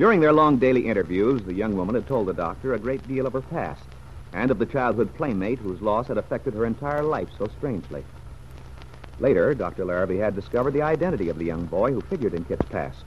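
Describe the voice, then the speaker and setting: A man speaks in a dramatic tone at a very fast pace. His pitch swings very widely. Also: fairly low pitch for a man. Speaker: radio drama narrator. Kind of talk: scripted narration, old-time radio drama. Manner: grave, even, dramatic storyteller tone.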